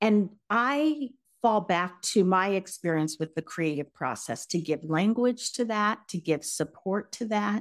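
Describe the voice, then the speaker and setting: An unremarkable speaking voice, a woman with an American accent and a medium pitch speaks at a fairly slow pace with hardly any pauses, in a very clean recording with a silent background. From Colorado, US. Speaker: leadership coach. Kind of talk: interview.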